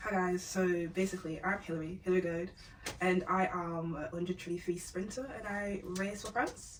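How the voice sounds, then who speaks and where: Noticeable background noise sits behind the voice. The intonation is fairly even, at a moderate pace. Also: woman. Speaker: sprinter. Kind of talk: casual chat.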